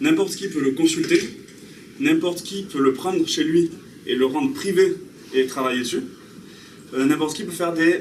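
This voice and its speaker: A man with a slight Basque accent, long, frequent pauses, and audible room echo. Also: moderate pace. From French Basque Country. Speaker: software developer giving a talk. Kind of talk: conference talk. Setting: talk in front of an audience, filmed. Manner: casual, hesitant with many fillers.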